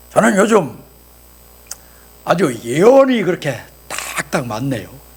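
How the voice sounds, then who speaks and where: At a very slow pace, a man speaks in a high pitch with very wide pitch swings, amid noticeable background noise and audible room echo. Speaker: pastor and voice actor. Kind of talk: sermon. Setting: church service with congregation. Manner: animated.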